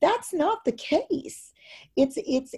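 A woman's dark, mellow voice swings very widely in pitch, captured in a very clean recording against a silent background. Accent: American. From US West Coast. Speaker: professor. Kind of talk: interview about education and pandemic.

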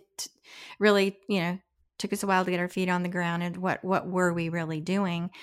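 A woman's fairly low voice at a fairly quick pace, an unremarkable speaking voice. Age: 60s. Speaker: podcast co-host, brand founder. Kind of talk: casual interview conversation.

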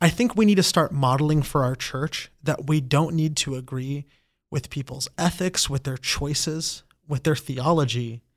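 In a very clean recording with a silent background, a man with an American accent speaks at a fairly high pitch, somewhat breathy. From Brazil-born, raised in the US from age four. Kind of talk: interview conversation.

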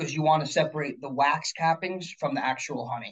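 This is a man with a plain, everyday voice and a fairly high pitch. He moves at a fairly quick pace with ordinary pitch variation. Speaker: chef and beekeeper. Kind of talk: casual interview. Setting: video call.

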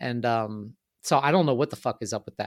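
The speech shows ordinary pitch variation on a very clean recording with a silent background. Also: man, dry, close sound with no echo. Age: 30s. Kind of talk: casual interview chat. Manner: casual, heavy swearing, filler words.

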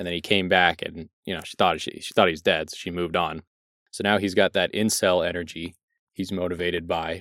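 Over a very clean recording with a silent background, a man speaks at a very deep, low pitch in a bright, sharp, animated tone, with big swings in loudness. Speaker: podcast host. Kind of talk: casual comedic banter. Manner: animated, joking.

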